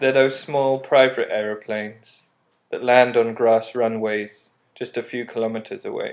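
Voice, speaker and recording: A man with a medium pitch talks in a serious tone with monotone, flat intonation. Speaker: artist. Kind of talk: scripted narration. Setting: apartment with windows open. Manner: slow; serious melancholic tone.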